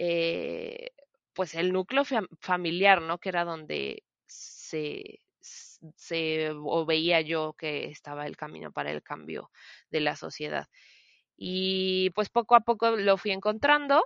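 Big swings in loudness mark this woman's voice. She speaks at a very slow pace. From Mexico, Celaya, Guanajuato. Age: 20s. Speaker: podcast co-host, preschool teacher. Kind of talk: casual chat.

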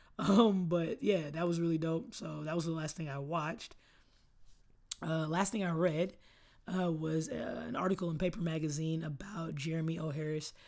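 This woman has an unremarkable speaking voice with an American accent, a fairly low pitch, ordinary pitch variation and a moderate pace. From Austin, Texas (East Austin). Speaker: podcast host. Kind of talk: casual solo chat. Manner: laid-back, many fillers.

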